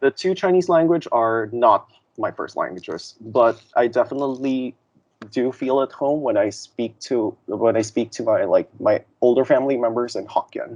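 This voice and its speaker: A man with a Filipino accent at a moderate pace, ordinary pitch variation and a dry, close sound with no echo. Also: medium pitch for a man. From Philippines. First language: Tagalog. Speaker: interviewee sharing lived experience. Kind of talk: interview testimony. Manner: hesitant with many fillers.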